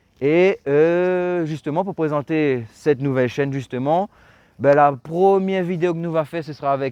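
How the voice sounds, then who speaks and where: A plain, everyday voice from a man, fairly high in pitch, at a moderate pace against a quiet background. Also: dry, close sound with no echo. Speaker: car channel host. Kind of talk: casual video presentation and interview.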